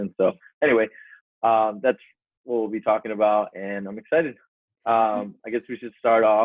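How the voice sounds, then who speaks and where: Fairly low in pitch, a man speaks fairly quickly with an American accent. His intonation stays fairly even. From US West Coast, San Diego. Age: 20s. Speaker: real estate agent. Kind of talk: casual chat.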